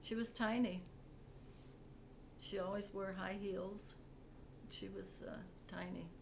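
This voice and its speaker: Amid audible room echo, a woman speaks at a very slow pace with long, frequent pauses. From Ontario, Canada. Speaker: interviewee, mother. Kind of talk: family interview. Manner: halting.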